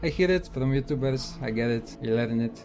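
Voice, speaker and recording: A man is speaking. He has a Polish accent. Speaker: gaming YouTuber. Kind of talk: casual Q&A answers to camera.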